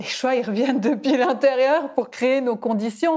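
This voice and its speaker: A woman has a normal speaking voice and a fairly quick pace. Her pitch varies in an ordinary way, and the recording is very clean with a silent background. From Switzerland, canton of Fribourg. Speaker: podcast host and coach. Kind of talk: casual interview.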